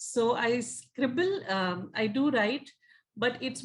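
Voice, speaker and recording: This woman speaks with an Indian accent. Her voice is somewhat breathy. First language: Hindi. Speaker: magazine editor and party secretary. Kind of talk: interview. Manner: halting, many fillers.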